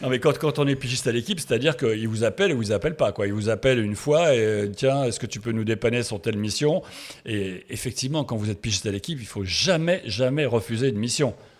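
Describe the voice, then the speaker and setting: A man at a very fast pace with lively intonation. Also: medium pitch for a man. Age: 60s. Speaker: sports photographer. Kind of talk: interview. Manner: halting, many hesitations.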